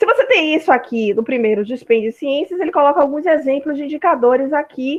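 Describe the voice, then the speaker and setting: With a high pitch and ordinary pitch variation, a woman speaks at a fairly quick pace. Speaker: university lecturer. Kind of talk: online lecture. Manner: fast.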